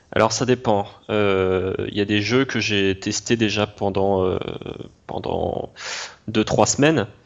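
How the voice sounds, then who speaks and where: With long, frequent pauses, a man talks very slowly at a fairly low pitch and fairly even intonation. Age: 20s. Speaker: YouTuber reviewing browser games. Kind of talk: interview. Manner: halting, many repetitions and fillers.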